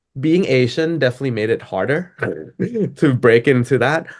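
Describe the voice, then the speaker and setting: A man speaks at a medium pitch with a Thai accent. His pitch rises and falls in an ordinary way. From Thailand. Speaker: DJ and music producer. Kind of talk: interview. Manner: casual, filler-heavy.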